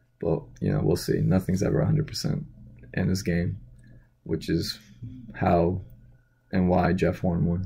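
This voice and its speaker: Dark and mellow with vocal fry, the voice moves at a moderate pace with very even loudness and long, frequent pauses. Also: man, very deep, low pitch for a man. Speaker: boxing commentary vlogger. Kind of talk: casual vlog commentary. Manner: monotone; hesitant, many fillers.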